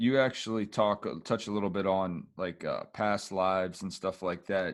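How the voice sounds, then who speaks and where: In a very clean recording with a silent background, a man with a normal speaking voice talks at a fairly slow pace, his fairly low pitch following a fairly even intonation. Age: 40s. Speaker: podcast host. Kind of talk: interview.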